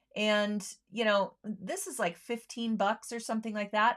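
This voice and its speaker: A woman's fairly high, unremarkable speaking voice at a fairly slow pace. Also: very clean recording, silent background. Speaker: sewing show host. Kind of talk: product demo livestream. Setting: livestream. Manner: casual with many fillers.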